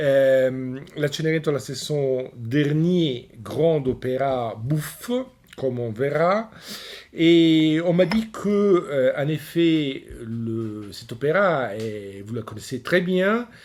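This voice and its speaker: A man with an Italian accent speaks at a very slow pace, his pitch fairly high and his intonation lively. Noticeable background noise is present. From Italy. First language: Italian (speaking French). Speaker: opera lecturer. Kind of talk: lecture. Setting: recorded at home. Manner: hesitant, many fillers.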